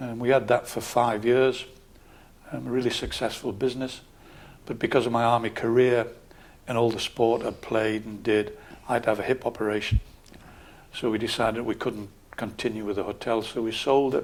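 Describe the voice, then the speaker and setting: Speaking in a Geordie accent, the voice runs at a fairly quick pace in a monotone, flat intonation, broken by long, frequent pauses. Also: man, medium pitch for a man. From northern England, Newcastle area. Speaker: local councillor and army veteran. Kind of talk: interview. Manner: calm.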